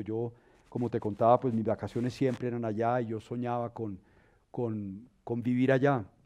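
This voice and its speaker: Against a quiet background, a man with a dark, mellow tone speaks at a fairly quick pace in a medium pitch with fairly even intonation. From Colombia, Bogotá. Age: 60s. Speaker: dancer and arts educator. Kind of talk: interview.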